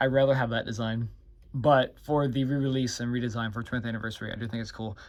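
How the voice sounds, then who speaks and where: A man talks at a very fast pace in a medium pitch, his intonation fairly even, on a very clean recording with a silent background. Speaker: toy reviewer. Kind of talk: product review. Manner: casual.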